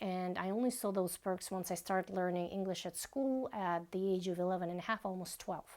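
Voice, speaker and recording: A woman with a Russian accent, fairly quick and with hardly any pauses. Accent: soft Russian. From Bashkortostan, Russia. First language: Bashkir. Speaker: vlogger. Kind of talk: personal vlog monologue.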